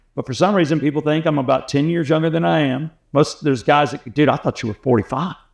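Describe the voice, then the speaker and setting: Against a quiet background, a man with an American accent rattles along at a very fast pace with hardly any pauses, using a fairly high pitch and ordinary pitch variation. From US South, Atlanta. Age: 60s. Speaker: radio host. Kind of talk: casual chat.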